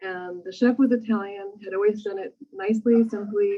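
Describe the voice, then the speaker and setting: A woman talks at a moderate pace in a normal speaking voice. Her pitch sits fairly high. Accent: American. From Los Angeles, California. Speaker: restaurant owner. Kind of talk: interview. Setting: in their restaurant.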